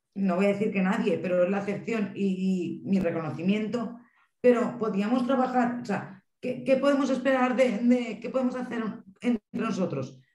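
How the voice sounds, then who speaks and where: Room echo is audible around the voice. It belongs to a woman with a fairly high pitch. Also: ordinary pitch variation. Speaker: mental health family association representative. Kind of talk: panel discussion. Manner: fast.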